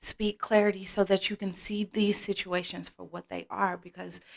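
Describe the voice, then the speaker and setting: Soft-spoken, flat, monotone delivery at a fairly slow pace, on a very clean recording with a silent background. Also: woman. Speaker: tarot card reader. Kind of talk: oracle card reading.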